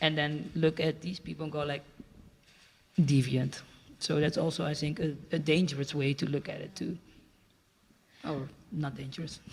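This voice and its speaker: A man with a fairly high pitch and a somewhat breathy voice speaks at a moderate pace in a monotone, flat intonation, leaving long, frequent pauses. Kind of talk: panel discussion.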